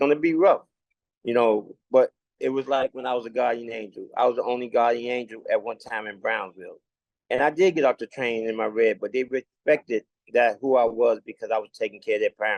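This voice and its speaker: Here a man with a New York accent talks at a fairly quick pace and medium pitch, with ordinary pitch variation. The sound is dry and close, with no echo. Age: 60s. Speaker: community leader. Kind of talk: casual chat. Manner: halting.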